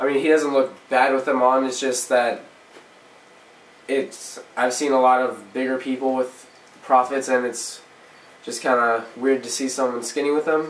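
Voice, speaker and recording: A man's medium-pitched, monotone, flat delivery at a moderate pace, broken by long, frequent pauses, with noticeable background noise. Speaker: paintball player reviewing gear. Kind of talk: product review. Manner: loud; casual with fillers.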